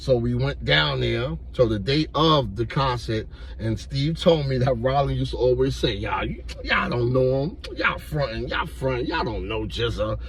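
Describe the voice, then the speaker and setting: Amid noticeable background noise and audible room echo, a man speaks in an animated tone at a moderate pace. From New York. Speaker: YouTuber telling street stories. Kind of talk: storytelling monologue. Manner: casual, animated.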